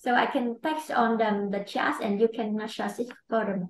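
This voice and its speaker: A woman's fairly high voice with ordinary pitch variation at a moderate pace, amid audible room echo and light background noise. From Vietnam. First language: Vietnamese. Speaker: clinical trial operations manager; webinar panelist. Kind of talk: webinar presentation. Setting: online webinar. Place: office. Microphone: webcam.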